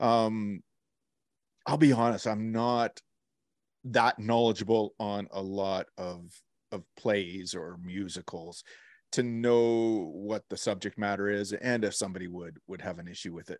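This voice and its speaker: A man's normal speaking voice, fairly low in pitch, fairly slow, with fairly even intonation, big swings in loudness and a dry, close sound with no echo. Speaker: podcast co-host. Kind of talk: casual chat. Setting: video call.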